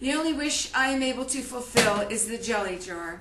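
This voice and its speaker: A woman's raised, projected, high-pitched voice at a fairly slow pace, with audible room echo and noticeable background noise. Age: 60s. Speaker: grieving daughter and elder-care advocate. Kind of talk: personal testimony and diary reading. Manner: emotional, impromptu.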